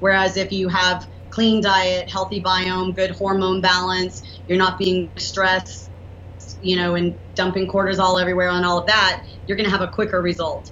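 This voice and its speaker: Speaking in a Southern US accent at a moderate pace, a woman keeps a monotone, flat intonation, with audible room echo around her. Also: medium pitch for a woman. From US South. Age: 40s. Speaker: entrepreneur and inventor. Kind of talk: interview.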